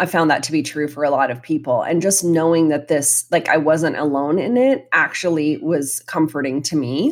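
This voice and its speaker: An unremarkable speaking voice from a woman, fairly low in pitch, at a moderate pace with ordinary pitch variation, on a very clean recording with a silent background. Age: 40s. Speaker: anxiety coach. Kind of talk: casual chat.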